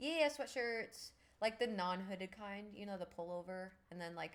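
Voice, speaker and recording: With an ordinary speaking voice, a woman talks at a moderate pace and medium pitch, her pitch varying in an ordinary way. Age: 30s. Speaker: livestreamer and podcaster. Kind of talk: casual live stream chat reading viewer comments. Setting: live stream.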